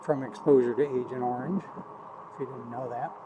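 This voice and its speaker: A man talks fairly slowly, and noticeable background noise can be heard. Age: 60s. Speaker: war veteran. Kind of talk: casual vlog monologue. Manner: halting, many fillers.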